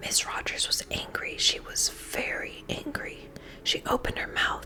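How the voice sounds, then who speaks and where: A voice whispers. Behind it, background noise is noticeable. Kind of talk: children's book reading. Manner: whispered.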